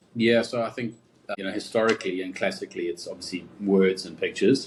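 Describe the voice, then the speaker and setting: A man with a South African accent speaks at a very fast pace. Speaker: advertising creative director. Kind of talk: interview. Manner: casual, many fillers.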